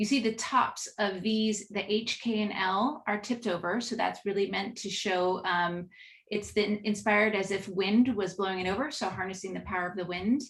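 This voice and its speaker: A woman speaks at a medium pitch with fairly even intonation. She sounds somewhat breathy and leaves hardly any pauses. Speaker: marketing executive. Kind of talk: business presentation. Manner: fast.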